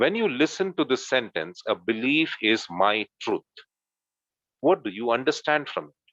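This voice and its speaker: Against a quiet background, a man of medium pitch speaks fairly slowly with vocal fry and very wide pitch swings. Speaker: teacher trainer. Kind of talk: online workshop lecture.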